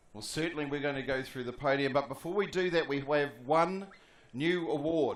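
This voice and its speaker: A man with a New Zealand accent. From New Zealand, Palmerston North. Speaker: sports commentator. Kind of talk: prize-giving announcement.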